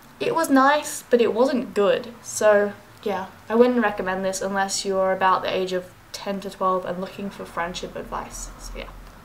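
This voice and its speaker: With audible room echo, a woman's medium-pitched voice shows big swings in loudness. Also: ordinary pitch variation. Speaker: book vlogger. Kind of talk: casual vlog book review. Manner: fast.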